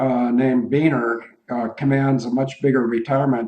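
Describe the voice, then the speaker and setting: Medium-pitched and monotone, with flat intonation, a man speaks with an American accent. His pace is moderate. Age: 60s. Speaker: retired airline pilot, radio show co-host. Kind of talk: radio talk show, casual discussion.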